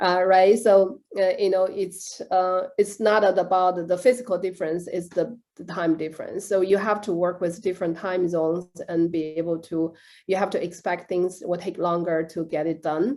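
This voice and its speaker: A woman with a Chinese accent speaks at a moderate pace in a dark, mellow tone, with fairly even intonation and hardly any pauses. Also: medium pitch for a woman, quiet background. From China. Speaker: director of a professional association. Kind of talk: interview. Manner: halting, many fillers.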